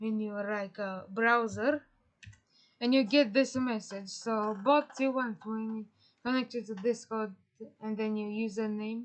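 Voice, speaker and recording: A woman with a non-native accent speaks at a very slow pace. Her pitch is fairly high and her intonation fairly even. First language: not English. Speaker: tutorial creator. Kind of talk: tutorial. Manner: halting, many fillers.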